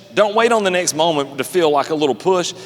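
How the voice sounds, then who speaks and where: Fairly quick in pace, a man speaks in an animated tone. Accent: Southern US. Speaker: pastor. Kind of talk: sermon. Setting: church service with live congregation. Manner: fast; animated, conversational.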